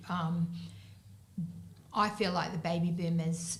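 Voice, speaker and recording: A woman with an Australian accent talks at a moderate pace over noticeable background noise, with audible echo from the room. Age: 60s. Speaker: business owner. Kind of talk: panel discussion.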